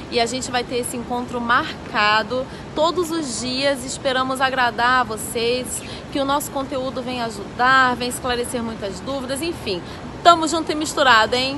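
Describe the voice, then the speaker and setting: With noticeable background noise behind her, a woman with a high pitch projects a raised voice at a moderate pace and fairly even intonation. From Brazil, Belo Horizonte (Minas Gerais). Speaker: tv show co-host. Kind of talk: self-introduction video. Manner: casual, slangy.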